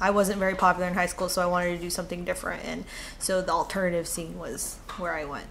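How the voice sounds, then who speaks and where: Speaking very fast with vocal fry and an American accent, a woman with a fairly low pitch is heard over audible room echo. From California. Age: 20s. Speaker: interviewee, activist. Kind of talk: interview answers. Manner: hesitant, with fillers.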